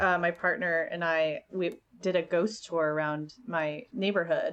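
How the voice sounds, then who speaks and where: A woman speaks at medium pitch and a fairly slow pace. It is an unremarkable speaking voice with ordinary pitch variation. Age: 30s. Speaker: burlesque performer. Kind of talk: casual chat.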